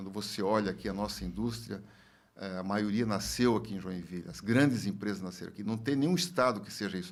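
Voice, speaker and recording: Speaking at a fairly quick pace, a man with a fairly low pitch shows big swings in loudness against audible room echo. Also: ordinary pitch variation. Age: 70s. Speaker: former industry federation president, businessman. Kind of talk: podcast interview. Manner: halting, many fillers and repetitions.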